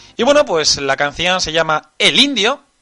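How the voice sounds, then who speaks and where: Music sounds behind the speech. The man talks rather slowly. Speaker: online radio host. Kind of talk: casual live stream chat.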